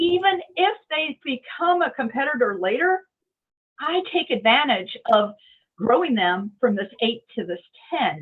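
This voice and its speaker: A woman with a high pitch speaks at a fairly slow pace, her pitch swinging very widely. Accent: American. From United States, Indiana. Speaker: entrepreneur, marketing director. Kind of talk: interview answer.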